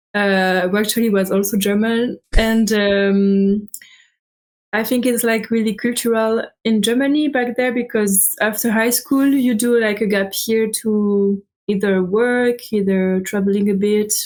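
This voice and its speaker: A woman with a French accent talks at a fairly slow pace, her pitch fairly high and her intonation fairly even. Her loudness stays very even on a very clean recording with a silent background. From France, Alsace. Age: 20s. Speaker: student traveler. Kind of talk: interview. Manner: hesitant, many fillers.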